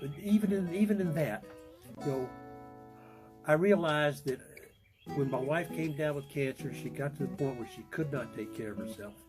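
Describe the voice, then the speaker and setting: A man speaks at a fairly quick pace, his pitch swinging very widely, while music plays in the background. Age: 80s+. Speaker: retired business owner. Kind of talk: interview answer. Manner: hesitant, conversational.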